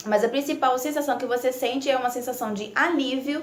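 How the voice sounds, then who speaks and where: Noticeable background noise under ordinary pitch variation. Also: woman. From Italy. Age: 20s. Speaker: nursing student. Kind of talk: casual talk to camera.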